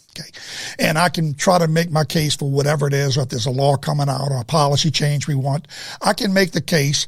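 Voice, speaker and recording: Over noticeable background noise, a man with an American accent talks very fast in a fairly high voice with ordinary pitch variation. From United States. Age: 70s. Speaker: drug abuse activist, former pharmacist. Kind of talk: interview. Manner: halting, repetitive.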